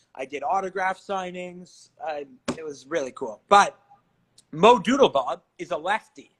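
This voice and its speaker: A man speaks at a moderate pace with an energetic tone and a high pitch. The sound is dry and close, with no echo. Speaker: entrepreneur and former musical theatre actor. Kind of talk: casual chat. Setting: video call.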